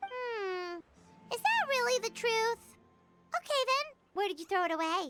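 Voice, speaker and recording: In a put-on character voice with an extremely high pitch and an energetic tone, the speaker talks at a moderate pace with long, frequent pauses while music plays in the background. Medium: video game. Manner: energetic, chatty.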